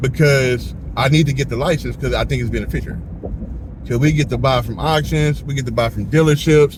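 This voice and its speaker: Amid noticeable background noise, a man speaks in an animated tone at a fairly quick pace. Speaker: car rental business owner and podcast host. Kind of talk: casual chat.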